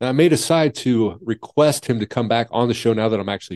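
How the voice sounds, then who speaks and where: A man's dark, mellow voice at medium pitch, lively in intonation and moderate in pace, with a dry, close sound, no echo and a quiet background. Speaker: podcast and radio host. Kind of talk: interview intro and casual chat. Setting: video call.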